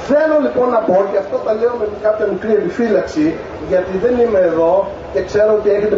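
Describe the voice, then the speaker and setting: Male speech at a moderate pace amid noticeable background noise and audible room echo. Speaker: public speaker. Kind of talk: public political speech. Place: street.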